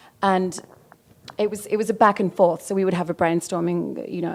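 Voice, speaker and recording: Using an Australian accent, a woman speaks at a medium pitch with ordinary pitch variation and vocal fry. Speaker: wallpaper designer. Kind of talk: interview. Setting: design event. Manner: halting, many fillers.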